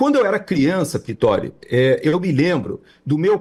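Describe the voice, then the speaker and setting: This is a man speaking. He keeps a moderate pace. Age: 60s. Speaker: political commentator. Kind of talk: political commentary chat. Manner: halting with many fillers.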